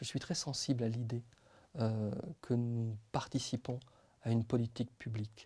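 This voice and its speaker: This man talks at a fairly slow pace in a flat, monotone delivery that is somewhat breathy, with long, frequent pauses. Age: 40s. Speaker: public prosecutor. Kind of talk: interview; interview answer. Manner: hesitant, many fillers; measured, reflective. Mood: calm, measured, thoughtful. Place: studio. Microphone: lapel.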